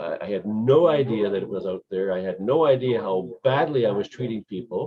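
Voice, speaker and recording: A man has a normal speaking voice at a medium pitch. He talks at a moderate pace with lively intonation. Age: 60s. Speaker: call participant. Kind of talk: personal testimony. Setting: video call.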